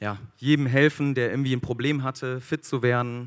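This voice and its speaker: A man speaks with fairly even intonation. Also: quiet background. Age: 30s. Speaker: food company founder and speaker; speaker. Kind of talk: motivational talk. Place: stage. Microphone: handheld.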